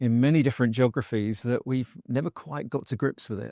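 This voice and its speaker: In a very clean recording with a silent background and a dry, close sound with no echo, a man of medium pitch speaks at a moderate pace with a dark, mellow tone and fairly even intonation. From United Kingdom. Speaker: construction industry executive, podcast co-host. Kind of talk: podcast interview.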